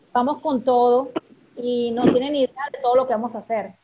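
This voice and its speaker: Her pitch high and her intonation fairly even, a woman talks at a moderate pace. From Venezuela (Maracay). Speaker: former radio producer. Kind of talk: casual chat.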